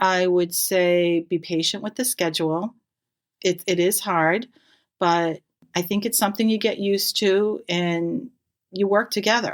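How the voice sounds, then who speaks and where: With an American accent and a normal speaking voice, the speaker goes at a fairly slow pace with fairly even intonation on a very clean recording with a silent background. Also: woman, medium pitch for a woman. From Massachusetts (Natick). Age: 60s. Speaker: nurse, firefighter's wife. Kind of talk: casual interview.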